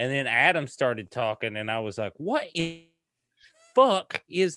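Recorded with a dry, close sound and no echo, a man speaks at a fairly slow pace in a bright, sharp tone. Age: 30s. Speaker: podcast co-host. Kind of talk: casual chat.

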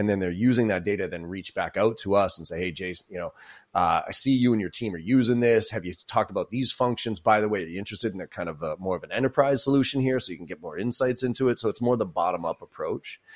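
A man talks at a very fast pace with hardly any pauses, his fairly low voice showing ordinary pitch variation. The sound is dry and close with no echo. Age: 40s. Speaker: sales coach and keynote speaker. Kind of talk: casual interview.

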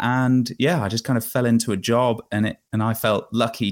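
In a very clean recording with a silent background, a man with an English accent speaks at medium pitch, the sound dry and close with no echo. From England, countryside small town. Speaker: bike tourer and podcast host. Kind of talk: interview. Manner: hesitant, many fillers.

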